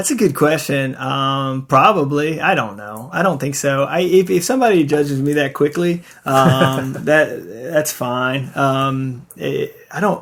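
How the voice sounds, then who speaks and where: A man with a slight Western Tennessee accent, at a fairly slow pace with ordinary pitch variation. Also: fairly high pitch for a man. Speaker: design studio founder and art director. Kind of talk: casual interview. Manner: hesitant, many fillers.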